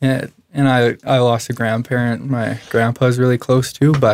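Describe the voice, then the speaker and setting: With a western Canadian accent, a man speaks at a moderate pace with fairly even intonation. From Canada, Alberta (Medicine Hat). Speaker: former college baseball player. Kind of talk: personal testimony in casual conversation.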